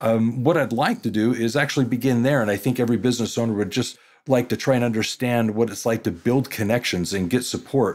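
With an unremarkable speaking voice, a man of medium pitch speaks at a fairly quick pace with ordinary pitch variation in a very clean recording with a silent background. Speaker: podcast host, accounting education company president. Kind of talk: interview.

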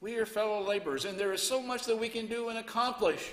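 In a raised, projected voice with a bright, sharp tone, a man speaks at a fairly quick pace with ordinary pitch variation over a quiet background. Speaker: preacher. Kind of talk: sermon. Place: church. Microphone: headset.

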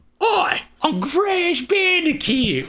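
This is a put-on character voice with an Australian accent. The pitch is extremely high. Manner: cartoonish, exaggerated.

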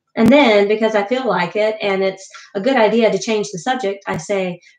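In plain reading aloud, the speaker's pitch shows ordinary variation.

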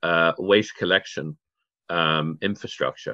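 The speaker has a British accent, recorded against a quiet background. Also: man. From Channel Islands (Guernsey); Channel Islands. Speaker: waste management expert, charity founder; interview guest. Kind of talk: interview. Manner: halting, many fillers. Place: home room. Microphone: video call.

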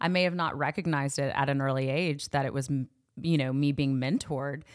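Monotone, flat delivery at a moderate pace with a slight Southern US accent, on a very clean recording with a silent background. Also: woman. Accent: barely any Southern twang. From Knoxville, Tennessee. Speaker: youth ministry worker. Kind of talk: casual chat.

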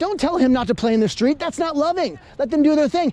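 A man's extremely high pitch and lively intonation come through a dry sound with no echo. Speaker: street preacher. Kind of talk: street preaching, debating a passer-by. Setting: outdoors. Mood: argumentative, preachy. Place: street.

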